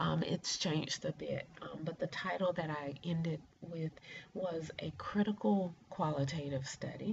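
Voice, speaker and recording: Speaking with an American accent, a woman uses a very deep, low pitch, vocal fry, and ordinary pitch variation. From US South, rural east central Georgia near Augusta. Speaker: doctoral student, former mental health counselor. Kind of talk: class introduction video. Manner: hesitant with many fillers.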